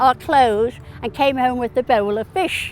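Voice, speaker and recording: Music sits in the background. The pace is fairly slow, with ordinary pitch variation. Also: woman. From northern England, Liverpool. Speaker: retiree. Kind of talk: personal reminiscence interview.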